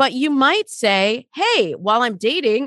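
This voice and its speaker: A normal speaking voice moves at a moderate pace with lively intonation, recorded dry and close with no echo. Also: woman. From Michigan, US. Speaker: dating coach. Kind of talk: interview conversation.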